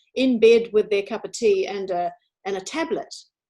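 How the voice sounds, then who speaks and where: A woman speaks in a normal speaking voice. Her pitch sits fairly high. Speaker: interviewer and radio presenter. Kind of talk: conversational interview talk.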